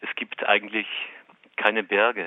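The speaker is a man. He talks at a moderate pace. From Austria, Waldviertel (Lower Austria). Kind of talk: interview. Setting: phone call.

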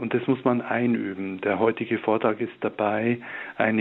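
A man is speaking here. His pitch sits in the medium range. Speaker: hospital chaplain and author. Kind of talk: spiritual talk with prayer reading. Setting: video or phone link from Ingolstadt.

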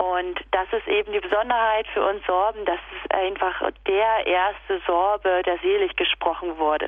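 A woman with an ordinary speaking voice talks at a fairly slow pace in a medium pitch, her intonation fairly even and her loudness very even. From Upper Lusatia, Saxony (Sorbian region). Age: 30s. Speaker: kindergarten teacher and festival organiser. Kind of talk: radio interview. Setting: phone call.

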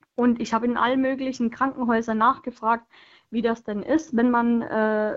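Delivered with fairly even intonation, this is a plain, everyday voice. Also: woman. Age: 20s. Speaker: radio caller, pregnant mother. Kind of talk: call-in conversation.

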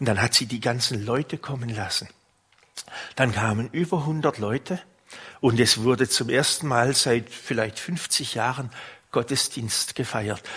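At a fairly slow pace with long, frequent pauses, a man speaks in a medium-pitched voice with a bright, sharp tone, a warm tone, and ordinary pitch variation. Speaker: priest. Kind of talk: sermon. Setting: church. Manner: warm, unhurried storytelling, pastoral and personal.

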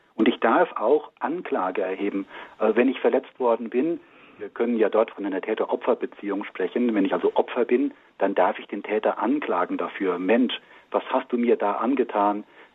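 A man talks in an ordinary speaking voice at a medium pitch. His pace is moderate and his pitch variation ordinary. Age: 60s. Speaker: engineer and marriage communication trainer. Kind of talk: radio interview. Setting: remote line into radio studio.

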